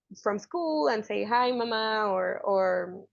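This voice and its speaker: A woman with a Spanish accent and a fairly high pitch speaks at a fairly slow pace. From Mexico. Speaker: journalist. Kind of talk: interview answer.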